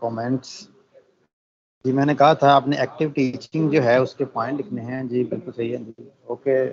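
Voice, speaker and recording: A man with a normal speaking voice talks at a moderate pace and medium pitch. His intonation is fairly even, though his loudness swings widely. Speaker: teacher trainer. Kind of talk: online training lecture.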